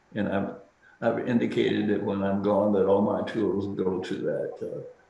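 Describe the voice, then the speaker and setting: A man's moderately paced speech comes through noticeable background noise and audible room echo. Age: 80s+. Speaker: speaker at a symposium. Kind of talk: Q&A discussion. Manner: halting with false starts.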